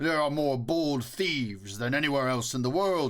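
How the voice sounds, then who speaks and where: A man in a put-on character voice. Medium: read story. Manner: loud, bellowing, mocking.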